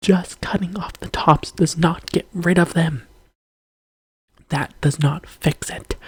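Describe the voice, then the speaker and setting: The pace is moderate. The speaker is whispering. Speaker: video creator. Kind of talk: rant.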